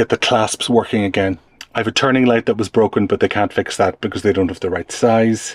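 A man speaks at a fairly quick pace with fairly even intonation, in a dry sound with no echo. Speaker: travel vlogger. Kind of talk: casual vlog chat. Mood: mildly exasperated, wry. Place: home room. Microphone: phone near.

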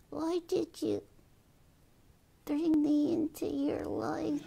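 A put-on character voice at a very slow pace

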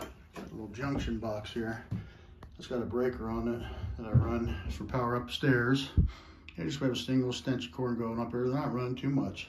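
Noticeable background noise sits behind a man speaking. He talks at a moderate pace with ordinary pitch variation. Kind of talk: casual vlog chat. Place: home room. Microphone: phone near.

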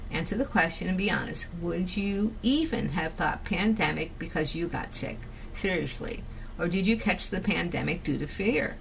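Over music in the background, a woman with an American accent talks at a moderate pace and medium pitch with ordinary pitch variation. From Connecticut. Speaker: video blogger. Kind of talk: monologue reading out and answering social media comments. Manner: animated.

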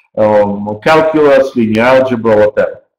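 With audible room echo and a quiet background, a man speaks at a moderate pace using ordinary pitch variation. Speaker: university program director; presenter. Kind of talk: webinar presentation. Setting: online webinar. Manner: halting, with frequent fillers. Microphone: webcam.

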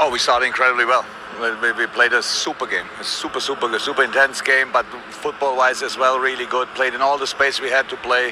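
Talking at a fairly quick pace, a man is heard in a dry recording with no echo and noticeable background noise. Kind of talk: interview answer. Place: stadium.

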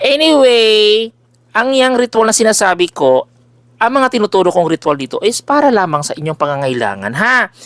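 A man with a high-pitched voice speaks at a moderate pace, his pitch swinging very widely, in a dry, close recording with no echo. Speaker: spiritual healer and oil seller. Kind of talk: promotional vlog monologue. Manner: loud; animated.

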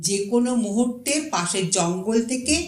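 This recording is plain reading aloud.

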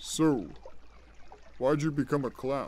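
Using a put-on character voice at a fairly high pitch, a man talks over clear background noise. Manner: casual, dry, offhand.

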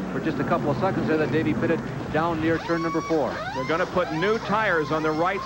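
A man at a very fast pace, dry sound with no echo, loud background noise around him. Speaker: race commentator. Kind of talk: commentary.

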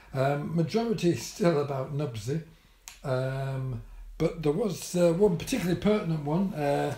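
A man talks with ordinary pitch variation, and audible room echo can be heard. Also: moderate pace. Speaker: vlogger. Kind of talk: casual vlog chat. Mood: dry, wry humour. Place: home room. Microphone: camera far.

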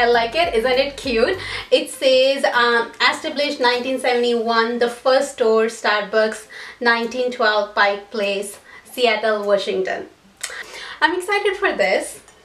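A woman with a high pitch speaks at a fairly slow pace amid audible room echo. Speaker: vlogger. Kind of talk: casual haul vlog chat. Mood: cheerful, excited. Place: home room. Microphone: camera far.

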